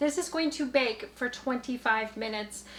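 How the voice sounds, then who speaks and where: Loud, high-pitched female voice with ordinary pitch variation over noticeable background noise. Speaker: home cooking vlogger. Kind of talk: cooking tutorial. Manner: animated. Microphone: microphone very close to face.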